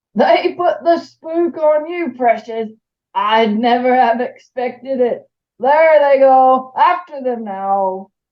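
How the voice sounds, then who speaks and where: In a put-on character voice, a woman speaks high-pitched at a fairly slow pace. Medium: read story. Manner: rambling, muttering.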